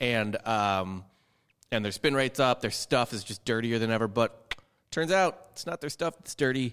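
A man talks at a moderate pace and medium pitch. He has an ordinary speaking voice. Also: lively intonation. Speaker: baseball podcast host. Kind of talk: casual sports talk.

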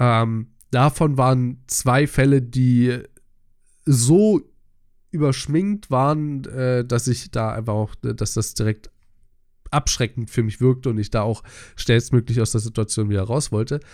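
On a very clean recording with a silent background, a man speaks very slowly at medium pitch with ordinary pitch variation and long, frequent pauses. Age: 20s. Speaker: podcast co-host. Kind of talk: casual chat.

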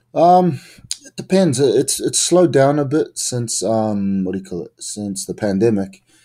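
A man with a New Zealand accent has a dark, mellow tone and very wide pitch swings. He keeps a moderate pace on a very clean recording with a silent background. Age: 20s. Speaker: professional wrestler. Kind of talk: casual interview.

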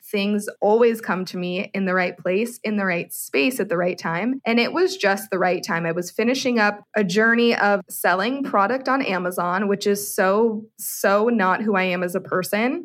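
In a plain, everyday voice, a woman with an American accent talks at a moderate pace and medium pitch, with ordinary pitch variation and hardly any pauses. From US West Coast, San Francisco Bay Area. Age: 20s. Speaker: human design coach. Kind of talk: interview.

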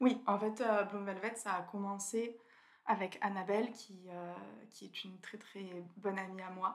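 The woman's voice sits at a medium pitch with flat, monotone intonation. She speaks at a very slow pace. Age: 20s. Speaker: food photographer. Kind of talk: interview.

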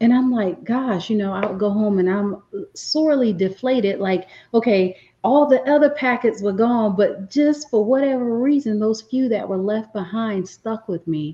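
With an American accent, a woman uses a normal speaking voice, fairly high in pitch, with ordinary pitch variation and a moderate pace. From US Northeast, inner city Philadelphia. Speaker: business coach. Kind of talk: interview.

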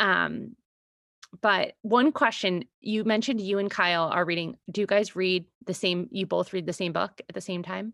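A woman of medium pitch speaks with vocal fry, in a very clean recording with a silent background and a dry, close sound with no echo. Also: ordinary pitch variation, moderate pace. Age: 30s. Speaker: podcast host, business consultant and mother. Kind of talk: casual chat.

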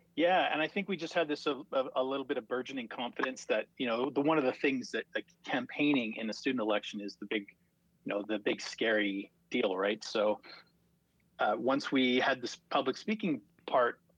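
A normal speaking voice at a fairly quick pace, dry and close with no echo, with ordinary pitch variation. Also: man. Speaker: student association executive director. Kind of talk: casual chat.

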